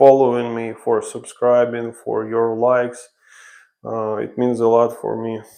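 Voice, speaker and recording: In a Ukrainian accent, a man speaks fairly slowly at a medium pitch, his tone dark and mellow. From Ukraine. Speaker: renovation contractor. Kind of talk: live stream tutorial. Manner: casual, halting.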